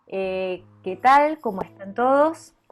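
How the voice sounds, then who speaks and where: Music plays in the background. The speech is very slow, with lively intonation. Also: woman. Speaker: interviewer. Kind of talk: interview host. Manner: stutters.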